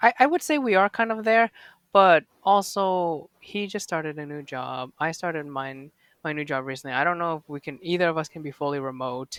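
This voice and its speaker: In a normal speaking voice, the speaker moves at a fairly quick pace with lively intonation, and the recording is very clean, with a silent background and a dry, close sound with no echo. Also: man, fairly high pitch for a man. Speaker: podcast guest. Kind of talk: casual chat.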